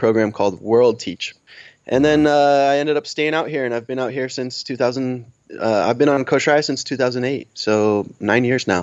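A plain, everyday voice delivers the words with an American accent. Its speed is moderate, and its pitch variation is ordinary. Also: man, medium pitch for a man. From US Northeast, Connecticut. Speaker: business owner. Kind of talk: interview.

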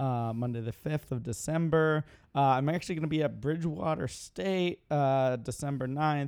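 A man with a normal speaking voice, fairly high in pitch, with ordinary pitch variation and a moderate pace, on a very clean recording with a silent background. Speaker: podcast co-host, magician. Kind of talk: casual chat.

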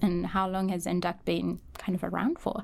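An ordinary speaking voice moves at a fairly slow pace with fairly even intonation, in a very clean recording with a silent background. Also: woman. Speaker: podcast host, research coordinator. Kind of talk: podcast interview.

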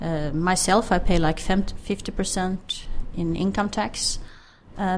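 A woman of medium pitch at a fairly slow pace, with a Swedish accent and ordinary pitch variation. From Sweden. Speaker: healthcare IT expert. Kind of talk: interview.

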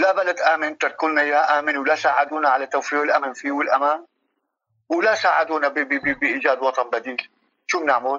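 Pitched fairly high, a man's voice moves along at a moderate pace. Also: fairly even intonation. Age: 50s. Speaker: refugee. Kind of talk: interview. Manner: halting.

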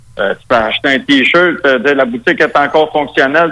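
Talking at a moderate speed, a man lets his pitch vary in an ordinary way over noticeable background noise. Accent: strong Quebec. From Quebec. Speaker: metal musician. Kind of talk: interview.

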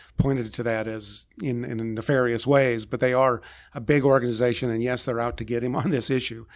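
With fairly even intonation and a medium pitch, a man speaks in an ordinary speaking voice. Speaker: political reporter. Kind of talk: casual newsroom discussion.

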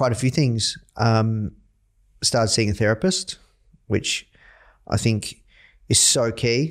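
On a very clean recording with a silent background, a man with an Australian accent speaks at a fairly slow pace with ordinary pitch variation. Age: 30s. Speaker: entrepreneur, company CEO. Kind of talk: interview.

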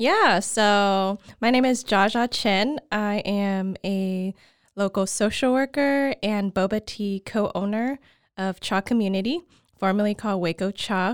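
A woman with an American accent and an ordinary speaking voice talks at a fairly slow pace and medium pitch with ordinary pitch variation, the sound dry and close with no echo. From Oklahoma, then China and Taiwan as a teen. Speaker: social worker and tea shop co-owner. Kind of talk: interview.

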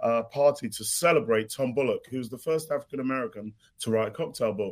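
This man has a British accent, a medium pitch and ordinary pitch variation. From London, born in Ghana. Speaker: mixologist and author. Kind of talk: casual chat.

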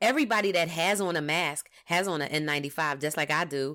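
On a very clean recording with a silent background, a woman with an American accent speaks in a bright, sharp, animated tone, her pitch fairly low and ordinarily varied. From US. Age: 50s. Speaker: podcast host on workplace equity. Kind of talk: monologue. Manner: halting, many fillers.

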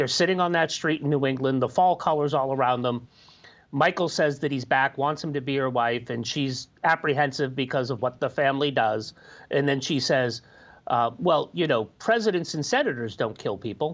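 It is an unremarkable speaking voice from a man. He talks at a moderate pace with ordinary pitch variation. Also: fairly high pitch for a man. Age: 40s. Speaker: media commentator. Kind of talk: casual panel discussion.

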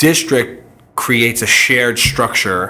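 A man in a New York accent at a fairly slow pace. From New York City, Queens. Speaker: marketing agency co-founder. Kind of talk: interview. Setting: in person at his company's space. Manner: hesitant with fillers.

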